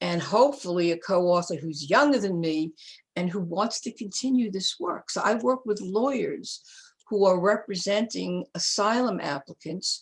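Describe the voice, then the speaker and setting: A somewhat breathy woman's voice of medium pitch, with lively intonation and a moderate pace, in a very clean recording with a silent background. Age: 80s+. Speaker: feminist psychologist and author. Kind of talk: interview.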